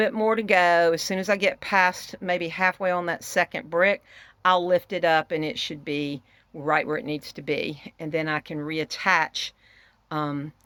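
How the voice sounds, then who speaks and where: In a Southern US accent, a woman speaks at a fairly slow pace with fairly low pitch and ordinary pitch variation, in a very clean recording with a silent background and a dry, close sound with no echo. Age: 60s. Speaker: homesteader. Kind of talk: casual vlog. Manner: casual with fillers.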